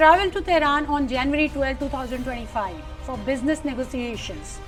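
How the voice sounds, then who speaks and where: A high-pitched woman's voice with ordinary pitch variation and music in the background. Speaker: news reporter. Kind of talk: news report narration.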